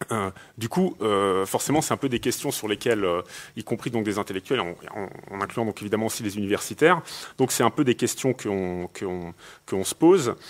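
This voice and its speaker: Lively intonation marks this man's fairly low voice. He talks at a moderate pace with long, frequent pauses. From France and Italy. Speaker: sociologist; panelist. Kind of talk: panel discussion. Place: hall.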